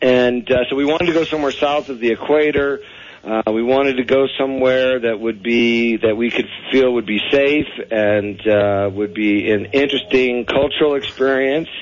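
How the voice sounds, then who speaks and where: A man at medium pitch and moderate pace, with ordinary pitch variation and noticeable background noise. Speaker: expat guest. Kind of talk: casual radio interview. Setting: phone call.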